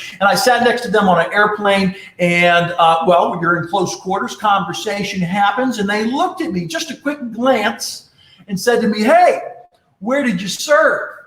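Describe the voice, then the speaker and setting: A loud, animated man at a high pitch, with lively intonation and a moderate pace. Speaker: leadership speaker and presenter. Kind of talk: live-streamed talk with storytelling. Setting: live stream broadcast.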